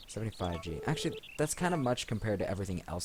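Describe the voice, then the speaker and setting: A man mumbles at a very fast pace in a somewhat breathy voice. His pitch varies in an ordinary way. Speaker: let's play gamer. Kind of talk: gameplay commentary. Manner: mumbling; low-energy.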